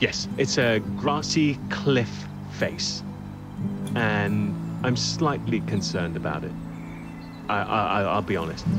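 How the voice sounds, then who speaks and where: Against music in the background, a man speaks at a very slow pace with long, frequent pauses. His very deep, low pitch swings very widely. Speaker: TV news presenter and journalist. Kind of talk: documentary presenting to camera.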